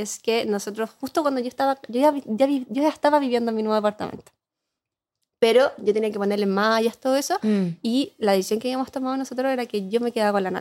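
A woman with a Chilean accent, a fairly high pitch and a very fast pace. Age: 30s. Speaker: advertising professional and content creator. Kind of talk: casual chat.

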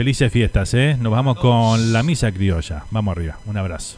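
A man talks at a moderate pace. His voice is medium in pitch with ordinary variation. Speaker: radio host. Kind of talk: casual chat. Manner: animated.

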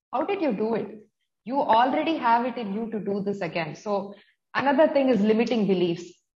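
Here a woman has an unremarkable speaking voice at fairly high pitch. Her intonation is lively and her pace fairly quick. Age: 40s. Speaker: nutrition coach. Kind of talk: interview.

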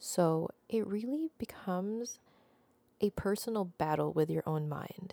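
A woman speaks very slowly in a dark, mellow tone. The recording is very clean, with a silent background and a dry, close sound with no echo. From Philippines. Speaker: podcast host. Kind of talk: advice monologue; personal storytelling.

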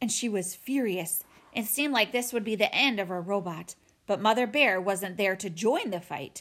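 Someone is reading aloud plainly. Pitch moves in an ordinary way.

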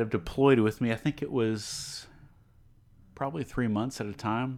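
An unremarkable speaking voice from a man with an American accent, ordinary pitch variation, and a moderate pace, in a very clean recording with a silent background. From Texas, Beaumont. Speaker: cybersecurity expert. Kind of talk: casual chat. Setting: home studio, drinking beer.

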